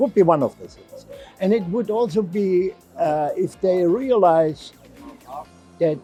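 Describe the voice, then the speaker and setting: With music in the background, a man with a German accent speaks at a fairly slow pace in a high pitch, with ordinary pitch variation, big swings in loudness and long, frequent pauses. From Germany. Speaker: novelist and physician. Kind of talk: interview answer. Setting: book fair.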